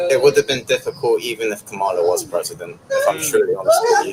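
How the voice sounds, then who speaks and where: A man speaks moderately fast against noticeable background noise. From England. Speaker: passerby interviewee. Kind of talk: street interview.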